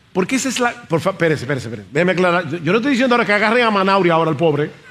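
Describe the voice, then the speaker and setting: Noticeable background noise sits behind this man's voice. He speaks with lively intonation in an animated tone. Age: 60s. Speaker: pastor. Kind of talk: sermon.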